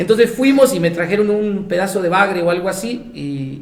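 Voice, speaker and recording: A man with an Argentine accent, ordinary pitch variation, audible room echo and noticeable background noise. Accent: Argentine accent, noticed by Mexicans. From Argentina, Buenos Aires province (small coastal town). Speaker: missionary. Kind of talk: casual interview, anecdotes. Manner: animated storytelling.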